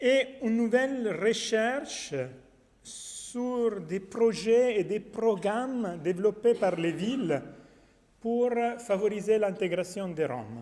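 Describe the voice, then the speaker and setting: Speaking very slowly with a non-native accent, a man is heard amid audible room echo. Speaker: academic researcher. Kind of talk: conference talk. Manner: halting.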